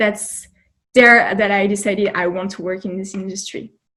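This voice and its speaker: A woman at a moderate pace, with a French accent and a medium pitch. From France. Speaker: job candidate, recent graduate. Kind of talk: interview.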